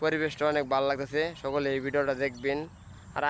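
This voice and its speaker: A man is speaking. His intonation stays monotone and flat. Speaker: YouTuber vlogger. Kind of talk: casual vlog to camera. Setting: outdoors.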